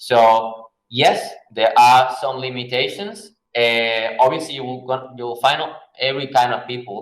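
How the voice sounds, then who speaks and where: A man's medium-pitched voice with a Spanish accent, a fairly slow pace, fairly even intonation, big swings in loudness and audible room echo. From Venezuela. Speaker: graphic designer. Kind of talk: Q&A talk. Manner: hesitant, many fillers.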